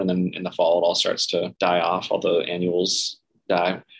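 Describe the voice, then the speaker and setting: Here a man speaks with an American accent. His pitch is very deep and low. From North Central Florida (Gainesville), US South. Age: 40s. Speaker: podcast guest, host's husband. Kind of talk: casual chat.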